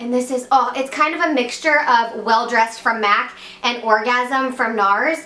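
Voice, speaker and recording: A woman speaks at a high pitch with an American accent. Audible room echo and noticeable background noise surround her. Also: ordinary pitch variation. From West Virginia. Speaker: beauty vlogger. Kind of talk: makeup tutorial. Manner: fast; casual, chatty.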